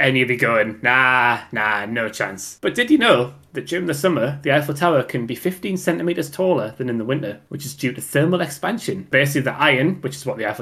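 A man's fairly high voice with lively intonation, on a very clean recording with a silent background. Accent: Geordie. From Newcastle, north-east England. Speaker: podcast co-host. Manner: chatty, casual.

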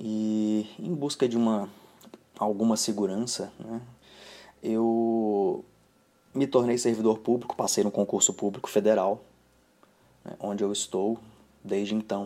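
A man's fairly low, dark and mellow voice at a fairly slow pace, with fairly even intonation and long, frequent pauses. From Brazil. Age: 30s. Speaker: financial planner. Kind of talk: personal video monologue.

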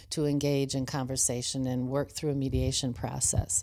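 At a moderate pace, a woman with an American accent speaks with a very deep, low pitch, a dark, mellow tone and fairly even intonation. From US Midwest, central Wisconsin. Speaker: retired school superintendent. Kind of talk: interview. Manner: halting.

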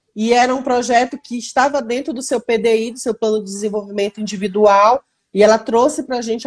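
On a very clean recording with a silent background, a woman speaks at a moderate pace with a high pitch. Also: dry, close sound with no echo. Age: 30s. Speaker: product manager. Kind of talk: casual interview.

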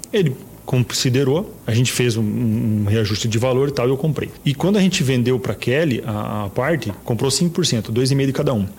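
Over noticeable background noise, the speech moves at a moderate pace with hardly any pauses, ordinary pitch variation and very even loudness. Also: man, medium pitch for a man. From Paraná, Brazil (Toledo). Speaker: real estate agency partner. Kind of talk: interview.

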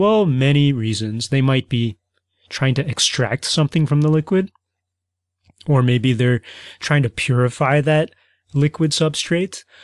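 A man with an American accent talks at a medium pitch with ordinary pitch variation, in a dry, close sound with no echo and a quiet background. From US Midwest. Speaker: podcast host. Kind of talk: educational explainer monologue.

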